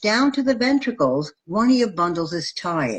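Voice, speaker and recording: This woman's voice is somewhat breathy and her pitch swings very widely. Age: 60s. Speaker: nurse educator. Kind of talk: lecture. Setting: live video stream.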